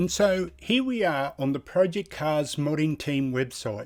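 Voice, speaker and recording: A man with an Australian accent speaks at a fairly high pitch and a fairly slow pace. His intonation is lively, and the recording is very clean with a silent background. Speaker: sim racing YouTuber. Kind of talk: gameplay commentary and tutorial. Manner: casual, enthusiastic.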